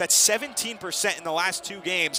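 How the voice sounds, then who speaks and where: Energetic and raised, a man's projected voice comes at a high pitch and a fairly quick pace, with ordinary pitch variation and noticeable background noise behind it. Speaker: TV sports play-by-play announcer. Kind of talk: live women's basketball play-by-play. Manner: fast, energetic.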